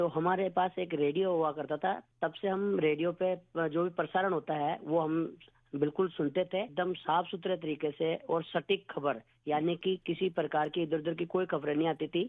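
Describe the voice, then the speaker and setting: Speaking in a high pitch, a man keeps his loudness very even and his intonation fairly even. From Rajasthan, village near Pushkar. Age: 40s. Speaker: wildlife conservationist, radio listener. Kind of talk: radio listener phone-in testimony. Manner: halting.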